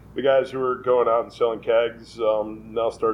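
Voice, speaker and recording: A man with an American accent talks in a normal speaking voice at a medium pitch. His pace is moderate and his intonation fairly even. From New York (Westchester). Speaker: brewery owner. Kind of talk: casual interview.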